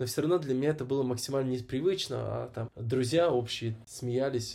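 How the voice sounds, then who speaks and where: Somewhat breathy and dark, mellow in tone, a man speaks at a fairly quick pace and medium pitch with ordinary pitch variation. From Kazakhstan, Almaty. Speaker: actor and event host. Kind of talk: casual interview.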